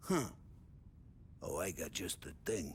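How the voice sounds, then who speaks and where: A loud, raspy put-on character voice from a man at medium pitch, over clear background noise. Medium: video game. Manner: loud, jovial.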